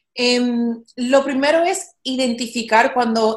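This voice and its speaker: A woman with a Latin American accent speaks at a fairly high pitch. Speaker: actress and podcast host. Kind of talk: casual interview chat. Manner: frequent English code-switching.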